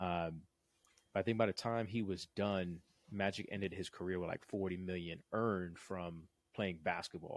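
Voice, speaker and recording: Very deep and low, a man's voice moves at a fairly quick pace with fairly even intonation in a dry, close recording with no echo, very clean and with a silent background. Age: 40s. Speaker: business startup coach, podcast host. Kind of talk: casual chat.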